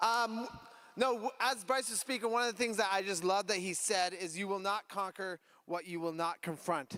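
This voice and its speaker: With a raised, projected voice and a bright, sharp tone, a man talks at a high pitch with ordinary pitch variation. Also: moderate pace. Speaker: youth pastor. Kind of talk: announcements to youth group. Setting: church youth group gathering.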